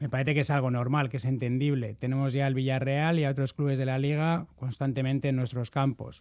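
Medium-pitched man at a fairly quick pace, with monotone, flat intonation. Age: 40s. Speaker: football club presidential candidate. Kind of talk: radio interview. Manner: halting.

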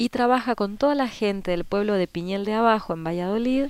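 In an Argentine accent, a woman speaks at medium pitch with ordinary pitch variation. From Argentina. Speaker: permaculture association organizer. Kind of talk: radio interview.

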